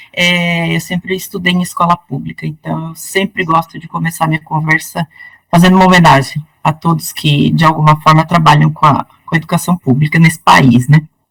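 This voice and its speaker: A woman with a very deep, low voice speaks at a moderate pace with hardly any pauses. Her intonation is fairly even, and the sound is dry and close with no echo. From northern Paraná, Brazil. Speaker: law professor. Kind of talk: interview.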